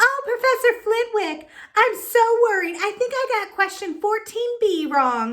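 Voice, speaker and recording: A woman uses a squeaky, put-on character voice at an extremely high pitch, with lively intonation and a moderate pace. The recording is very clean, with a silent background. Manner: mocking, fretful.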